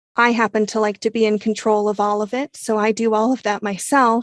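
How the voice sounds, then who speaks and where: A woman's fairly high-pitched, monotone voice with flat intonation, moderate pace, and a dry, close sound with no echo. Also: quiet background. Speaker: audiobook narrator and producer. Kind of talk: interview.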